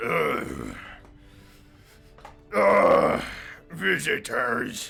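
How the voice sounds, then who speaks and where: A man's put-on character voice, raspy and gravelly, over faint background music. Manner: grumbling, suspicious.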